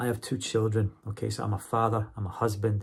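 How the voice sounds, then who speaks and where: Somewhat breathy, a man with a medium pitch speaks at a moderate pace. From Scotland. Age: 40s. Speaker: university English teacher and vlogger. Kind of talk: casual monologue vlog.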